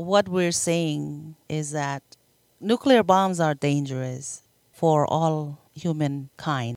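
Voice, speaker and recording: A woman's very deep, low voice at a very slow pace, with ordinary pitch variation and a dry, close sound with no echo. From Marshall Islands. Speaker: anti-nuclear advocate. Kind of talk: interview.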